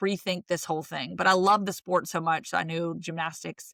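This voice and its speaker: Speaking with a Southern accent, a woman has a bright, sharp tone, a fairly low pitch and vocal fry at a moderate pace. The sound is dry and close with no echo, on a very clean recording with a silent background. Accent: Southern, says y'all. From US South, rural Virginia (Roanoke). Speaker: sports broadcaster. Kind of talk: interview conversation. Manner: animated.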